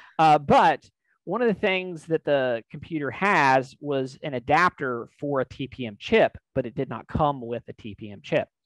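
A man speaks at a fairly slow pace. The sound is dry with no echo, over a quiet background. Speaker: tech company host. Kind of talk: explanatory tech talk. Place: home room. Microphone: headset.

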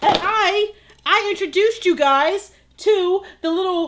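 A woman with an extremely high pitch speaks at a fairly slow pace with ordinary pitch variation. There is noticeable background noise. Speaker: video host. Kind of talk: casual vlog chat. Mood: playful, joking. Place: home room. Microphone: camera far.

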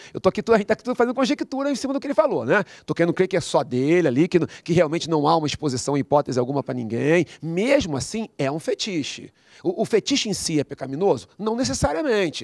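Over a quiet background with a dry sound and no echo, a man with a Brazilian accent speaks at a very fast pace with hardly any pauses, a high pitch and very wide pitch swings. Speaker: pastor. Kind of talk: panel discussion. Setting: studio. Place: studio. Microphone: handheld.

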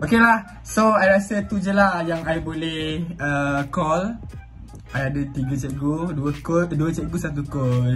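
Faint music plays behind a man who speaks at a fairly slow pace. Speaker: vlogger calling his teacher. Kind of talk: casual vlog chat. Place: home room. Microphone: phone near.

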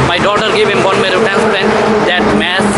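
Background noise is loud here. The speaker is a man. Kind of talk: street interview answer. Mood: grieving, upset. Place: street. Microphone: phone near.

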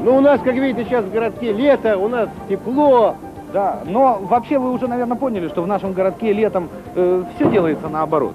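Over clear music in the background, a man talks at a fairly quick pace with a high pitch. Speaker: TV comedy host. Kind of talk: comic presenter intro to camera. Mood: playful, joking. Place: street.

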